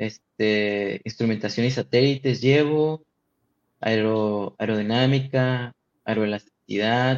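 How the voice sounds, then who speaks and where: A man speaks very slowly at medium pitch with fairly even intonation. The sound is dry and close with no echo. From Tijuana, Mexico. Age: 20s. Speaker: aerospace engineering student. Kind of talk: casual interview.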